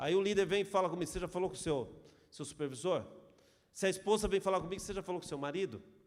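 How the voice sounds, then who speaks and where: This man speaks at a very fast pace. His voice is high in pitch. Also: ordinary pitch variation. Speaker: pastor. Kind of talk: sermon.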